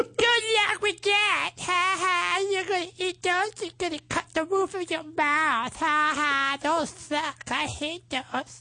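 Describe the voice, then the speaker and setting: An extremely high, female-sounding put-on character voice at a very slow pace. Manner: mocking, bratty, sarcastic.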